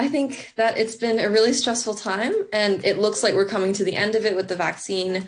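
A fairly high-pitched woman with fairly even intonation and very even loudness, hardly any pauses, and music in the background. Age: young. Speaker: student award winner. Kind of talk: interview. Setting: studio.

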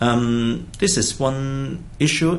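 A man speaks at a very slow pace with a Hong Kong accent. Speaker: psychiatrist. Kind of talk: interview. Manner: halting.

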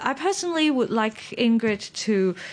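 A woman with a Hong Kong accent at a moderate pace over a quiet background. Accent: Hong Kong Cantonese. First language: Cantonese. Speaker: radio host. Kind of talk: hosting a competition broadcast.

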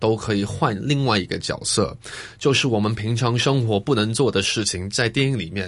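At a moderate pace and medium pitch, a man with a slight Taiwanese accent speaks with ordinary pitch variation against a quiet background. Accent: slight Taiwanese accent in Mandarin. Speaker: actor and DJ. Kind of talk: casual interview chat. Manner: halting, many fillers.

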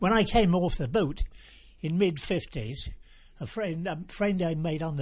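Against a quiet background, a man speaks in a high voice with lively intonation. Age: 80s+. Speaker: local historian. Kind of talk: interview reminiscence. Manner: halting.

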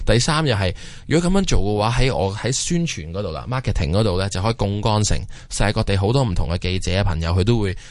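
Words come out very fast from this man. His voice is fairly low. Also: lively intonation. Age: 30s. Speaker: watch company founder. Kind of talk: interview. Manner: halting.

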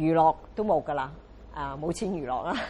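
A woman talks at a moderate pace. Her very deep, low voice carries vocal fry. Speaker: rubber stamp craft artist and teacher. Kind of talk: interview testimony. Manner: halting with many fillers.

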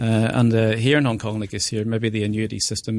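A man's fairly low, monotone voice with flat intonation, very fast pace, quiet background. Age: 40s. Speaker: wealth management advisor. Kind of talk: radio interview. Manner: halting, many fillers.

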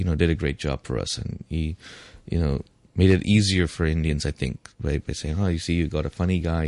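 Speaking at a moderate pace, a man uses a very deep, low pitch with vocal fry and ordinary pitch variation. The background is quiet, and the sound is dry and close with no echo. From Hong Kong, Tamil Indian family. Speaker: refugee center worker and minority rights advocate. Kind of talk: radio interview.

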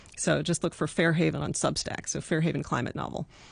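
A woman speaks at a fairly quick pace with vocal fry. The background is quiet. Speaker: novelist. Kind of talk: radio interview. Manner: hesitant with many fillers.

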